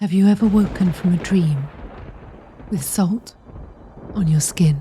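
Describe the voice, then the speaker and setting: Noticeable background noise runs through the clip. The woman talks at a fairly slow pace. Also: medium pitch for a woman, ordinary pitch variation. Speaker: meditation guide, certified therapist. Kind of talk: guided meditation, ritual. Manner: hypnotic, soft-spoken, slow.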